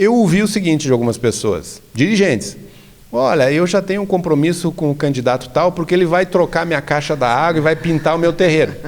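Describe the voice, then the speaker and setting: With an ordinary speaking voice, a man talks at a fairly quick pace in a fairly high pitch. His intonation is lively and his loudness very even. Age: 60s. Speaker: religious leader and association president. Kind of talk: interview conversation.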